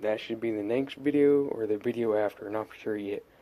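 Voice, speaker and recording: Quiet and dark, mellow in tone, a man speaks at a medium pitch with fairly even intonation. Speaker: RC hobby YouTuber. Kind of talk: casual tutorial. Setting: at home late at night. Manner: quiet, subdued.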